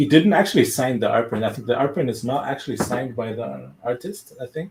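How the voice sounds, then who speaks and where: Talking at a very fast pace with a German accent, a man has a medium pitch and ordinary pitch variation. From Germany. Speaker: collector and unboxing video host. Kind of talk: casual live-stream chat. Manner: halting, many fillers.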